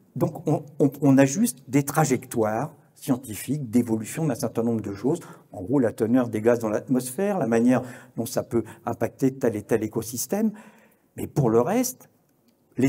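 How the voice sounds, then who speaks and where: A man with a medium-pitched, somewhat breathy voice and a dark, mellow tone speaks at a moderate pace with ordinary pitch variation. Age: 70s. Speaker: journalist and conference speaker. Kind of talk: conference talk. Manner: halting, many hesitations and repetitions.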